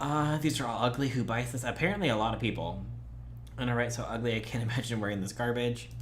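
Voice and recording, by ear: With vocal fry and ordinary pitch variation, a man talks at a medium pitch and a very fast pace.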